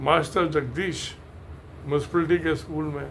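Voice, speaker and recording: With noticeable background noise and audible room echo, a man talks at a fairly high pitch. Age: 80s+. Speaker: engineer and video creator. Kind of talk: casual talk to camera. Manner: halting.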